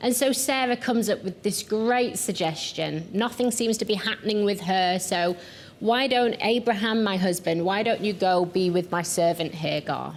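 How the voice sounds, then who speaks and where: Over noticeable background noise, a woman with a strong Yorkshire accent talks with ordinary pitch variation, very even loudness and hardly any pauses. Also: medium pitch for a woman, moderate pace. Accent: thick Yorkshire. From Yorkshire, northern England. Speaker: pastor and missions founder. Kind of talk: televised teaching talk.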